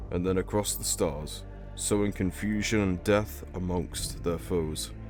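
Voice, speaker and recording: Music plays in the background as a man speaks in a very deep, low pitch. His intonation is lively and his pace fairly slow. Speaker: lore video narrator. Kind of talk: educational lore narration.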